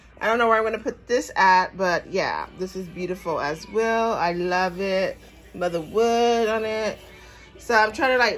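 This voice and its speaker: Faint music plays in the background as a woman speaks at a moderate pace. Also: ordinary pitch variation. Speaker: shopping haul vlogger. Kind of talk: casual vlog chat. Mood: pleased, relaxed. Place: home room. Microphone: phone near.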